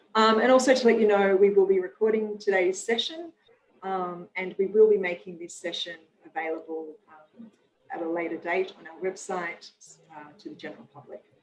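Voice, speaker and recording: A woman talks at a moderate pace in an Australian accent. Her loudness swings widely, while her pitch varies in an ordinary way. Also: medium pitch for a woman. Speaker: nonprofit president and webinar moderator. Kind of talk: webinar introduction. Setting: video call. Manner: hesitant, many fillers.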